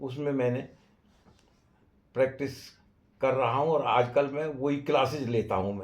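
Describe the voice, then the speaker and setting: Fairly even in intonation, a man speaks in a somewhat breathy voice. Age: 90s. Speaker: retired engineer and yoga teacher. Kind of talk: interview monologue. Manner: halting.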